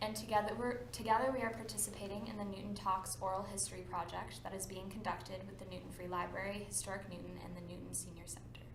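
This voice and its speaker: Over noticeable background noise, a woman talks at a very fast pace with hardly any pauses and big swings in loudness. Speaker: oral history interviewer. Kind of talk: interview questions.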